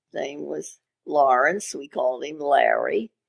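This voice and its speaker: A woman speaks with a Maryland accent. Her pace is very slow. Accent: Mid-Atlantic American (Maryland). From Maryland, Havre de Grace. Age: 90s. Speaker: retired radio station owner. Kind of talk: interview.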